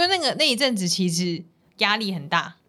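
A woman talks at a moderate tempo, her pitch swinging very widely. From Taipei, Taiwan. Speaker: dietitian, podcast co-host. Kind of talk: casual chat.

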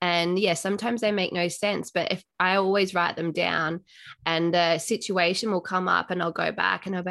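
A woman speaks with an Australian accent at a moderate pace. Her intonation is flat and monotone. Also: quiet background. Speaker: podcast host. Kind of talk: casual interview chat.

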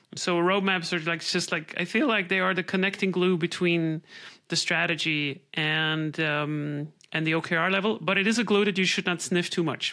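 A woman speaks at a moderate pace in a fairly low pitch, her tone bright and sharp. Her loudness stays very even and her intonation fairly even. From Switzerland. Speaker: product management advisor. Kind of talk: interview. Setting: video call.

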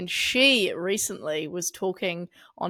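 A woman with a New Zealand accent speaks at a fairly low pitch in a very clean recording with a silent background. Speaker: podcast co-host. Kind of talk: casual chat.

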